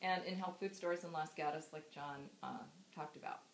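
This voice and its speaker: A woman speaks with a Californian accent at a fairly quick pace. Her pitch is fairly low. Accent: Californian American. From California, US. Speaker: daughter giving a memorial speech. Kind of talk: eulogy. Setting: memorial gathering with audience. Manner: halting.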